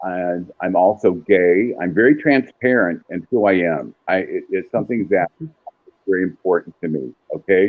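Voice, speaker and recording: A man's very deep, low voice at a moderate pace, lively in intonation, with music in the background. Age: 60s. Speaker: psychic medium. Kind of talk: storytelling interview.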